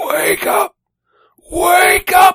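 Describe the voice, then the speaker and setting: An extremely high-pitched, put-on character voice. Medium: read story. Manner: urgent, insistent.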